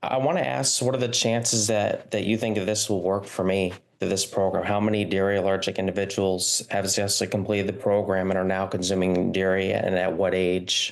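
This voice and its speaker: The speech comes at a moderate pace with fairly even intonation and very even loudness, over noticeable background noise. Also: man. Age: 20s. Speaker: webinar participant with dairy allergy. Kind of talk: Q&A question.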